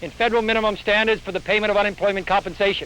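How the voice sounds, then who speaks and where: In an American accent, a man projects a raised, bright, sharp voice at a high pitch. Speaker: US senator and presidential candidate. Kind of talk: political speech at a press conference. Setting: outdoors at a press conference, old film recording.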